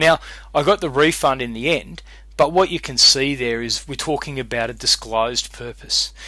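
With an Australian accent, a man speaks at a moderate pace. The recording is very clean with a silent background. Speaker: law lecturer. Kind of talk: lecture. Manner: casual, conversational.

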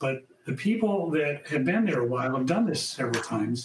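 The recording has audible room echo. Light background noise runs underneath. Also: man. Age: 60s. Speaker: dentist in addiction recovery. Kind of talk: panel discussion. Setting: virtual event. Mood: calm, reflective. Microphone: webcam.

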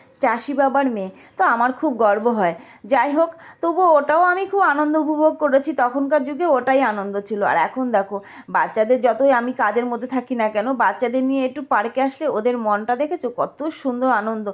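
Her high voice carries lively intonation as the woman talks. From rural Bengal. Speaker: vlogger. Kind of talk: casual vlog narration. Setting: outdoors in a park.

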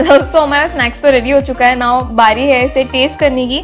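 Faint background music behind a high-pitched woman at a moderate pace. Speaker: food vlogger. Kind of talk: casual vlog chat. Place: home room. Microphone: lapel.

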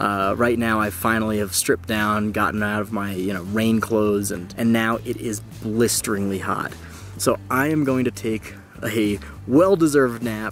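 A man's fairly low voice at a moderate pace, fairly even in intonation, dry with no echo, faint music behind it. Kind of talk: casual vlog chat. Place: tent. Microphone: phone near.

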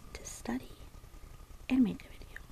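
A woman's whisper at a moderate pace. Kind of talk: ASMR soft-spoken study session. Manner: soft-spoken.

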